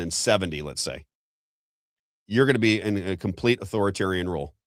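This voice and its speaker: A man with an American accent talks at a fairly quick pace with an animated tone and lively intonation. The recording is very clean, with a silent background. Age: 50s. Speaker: political commentator. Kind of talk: live political talk show.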